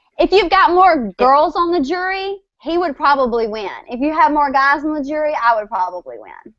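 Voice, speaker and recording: With a strong Southern US accent, a woman speaks at a moderate pace in a high pitch, her voice making very wide pitch swings and big swings in loudness. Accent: strong Southern country. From West Tennessee, near Memphis. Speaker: country singer. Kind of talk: casual chat.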